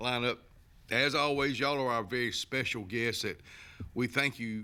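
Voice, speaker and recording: With an Alabama accent, a man speaks at a moderate pace in a bright, sharp tone with ordinary pitch variation. The recording is very clean, with a silent background. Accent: Southern US (Alabama). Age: 70s. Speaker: local TV talk show host. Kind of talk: casual talk show monologue. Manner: halting, many repetitions and fillers.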